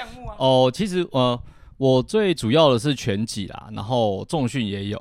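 A man with a medium-pitched voice talks at a fairly slow pace, his pitch swinging very widely and his loudness rising and falling sharply. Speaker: freelance boxing and fitness coach. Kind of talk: casual chat. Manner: halting.

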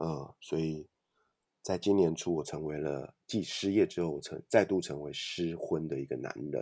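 In a very clean recording with a silent background, a man speaks at a moderate pace with a very deep, low pitch, a dark, mellow tone and ordinary pitch variation. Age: 40s. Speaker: author and podcaster. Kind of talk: interview.

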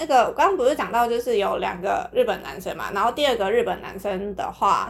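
Over noticeable background noise, a woman speaks fairly quickly at a high pitch with very wide pitch swings. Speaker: podcast host. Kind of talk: casual chat.

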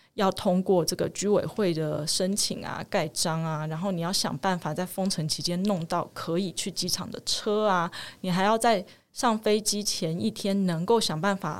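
A woman speaks at a medium pitch in an ordinary speaking voice with ordinary pitch variation, on a very clean recording with a silent background. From Taiwan. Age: 30s. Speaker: mother, interviewee. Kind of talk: interview testimony.

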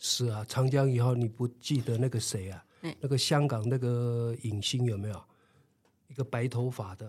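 Somewhat breathy speech at a moderate pace shows fairly even intonation and big swings in loudness on a very clean recording with a silent background. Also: man, medium pitch for a man. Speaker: retired PE teacher. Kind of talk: interview. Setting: studio.

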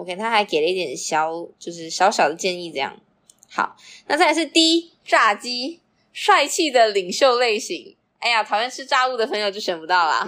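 A woman speaks at a moderate pace in a fairly high, bright, sharp voice, animated, with very wide pitch swings and big swings in loudness, on a very clean recording with a silent background. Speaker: podcast co-host. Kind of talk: casual chat.

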